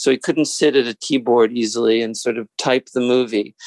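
Here is a man with an ordinary speaking voice at a moderate pace and ordinary pitch variation. The sound is dry and close, with no echo. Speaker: author. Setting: remote interview.

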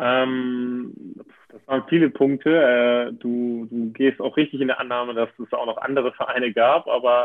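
Delivered at a fairly slow pace, the speech is monotone, with flat intonation. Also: man. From northern Germany, near Hamburg. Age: 20s. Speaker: handball player. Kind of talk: interview. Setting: video call. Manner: hesitant, many fillers.

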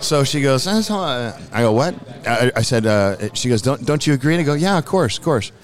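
A man with a medium pitch talks with lively intonation and very even loudness over noticeable background noise. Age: 50s. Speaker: painter and musician. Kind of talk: casual chat. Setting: live recording at an event.

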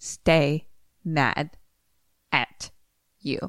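This is a put-on character voice. It sounds raspy at a middle pitch. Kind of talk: monotone, reading by rote. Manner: stilted, phonetic reading.

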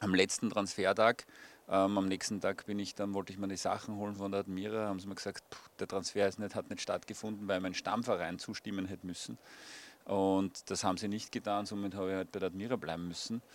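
In a very clean recording with a silent background, a man speaks fairly quickly in a monotone with flat intonation. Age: 40s. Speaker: former footballer. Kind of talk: interview. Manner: hesitant, many fillers.

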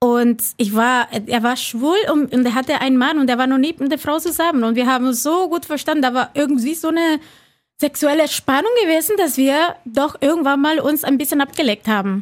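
The woman's voice is high-pitched with ordinary pitch variation. She keeps a moderate pace and a very even loudness. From Cuba. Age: 40s. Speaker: reality TV participant. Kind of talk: casual chat.

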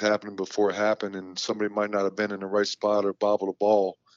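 With an American accent, a man speaks at a very fast pace. His fairly low voice stays monotone and flat. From US Midwest, northeast Ohio. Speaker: college basketball head coach. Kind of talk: casual interview.

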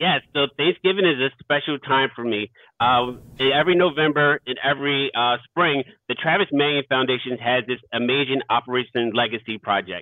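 At a fairly quick pace, a man talks in a normal speaking voice with an American accent. He holds a medium pitch and shows ordinary pitch variation. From South Philadelphia. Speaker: veteran and youth mentor. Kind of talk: interview.

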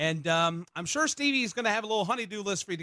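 A man's high-pitched, raised, projected voice with a bright, sharp tone, at a very fast pace, dry and close with no echo. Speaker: radio host. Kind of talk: radio talk show. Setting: studio.

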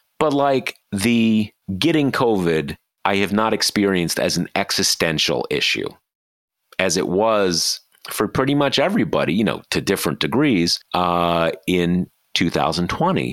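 In a very clean recording with a silent background, a man speaks at a fairly slow pace and a fairly low pitch, with very wide pitch swings and very even loudness. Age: 50s. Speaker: podcast host and news site founder. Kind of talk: casual political discussion.

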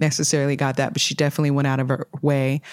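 In a Californian accent, a woman talks with a very deep, low pitch. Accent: Californian American English. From Sacramento, California. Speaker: mental health first aid responder. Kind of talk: casual interview.

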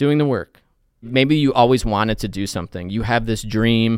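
This man has an ordinary speaking voice at medium pitch, with fairly even intonation and a moderate pace, in a very clean recording with a silent background. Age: 40s. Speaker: TV news and feature reporter. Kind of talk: casual interview.

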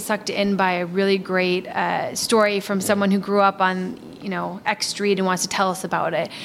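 An ordinary speaking voice with an American accent at a moderate pace. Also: woman. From Milwaukee, Wisconsin. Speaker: historical society director. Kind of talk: interview.

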